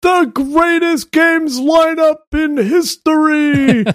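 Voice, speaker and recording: A man's put-on character voice, extremely high in pitch, at a very slow pace. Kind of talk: promotional. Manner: dramatic, announcer-style.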